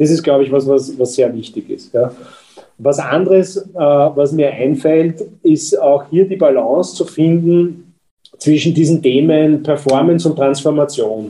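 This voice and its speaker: Speaking at a fairly slow pace, a man uses an ordinary speaking voice. His pitch is fairly high, with ordinary pitch variation. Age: 50s. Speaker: company executive. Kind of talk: interview.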